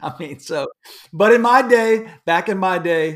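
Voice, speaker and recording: A man talks with a Texan accent. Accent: Texan American English. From Houston, Texas. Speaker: musician and pastor. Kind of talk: casual interview chat. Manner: animated.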